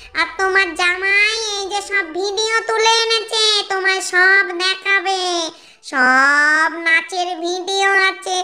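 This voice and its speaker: This cartoonish character voice moves along at a very slow pace. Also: female-sounding voice, extremely high pitch for a woman. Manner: gushing, excitable.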